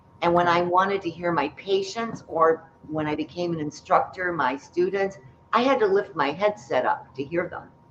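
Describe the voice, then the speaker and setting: Amid noticeable background noise, a woman speaks at a moderate pace with a fairly low pitch and ordinary pitch variation. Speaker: spellcaster and author. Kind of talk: storytelling in an interview. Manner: loud.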